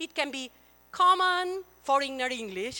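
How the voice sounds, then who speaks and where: A woman's high, bright, sharp voice is raised and projected. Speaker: keynote speaker, professor. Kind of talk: conference keynote. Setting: conference hall with audience.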